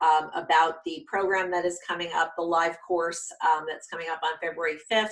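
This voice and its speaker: A bright, sharp tone carries the voice along at a moderate pace. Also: woman. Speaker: career coach. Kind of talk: video course lesson; sales pitch. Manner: many filler ums.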